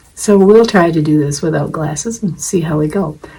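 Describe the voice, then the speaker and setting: A woman speaks at a fairly low pitch and moderate pace, with ordinary pitch variation and noticeable background noise. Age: 70s. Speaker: wig-wearing video blogger. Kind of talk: tutorial. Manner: casual, conversational with fillers.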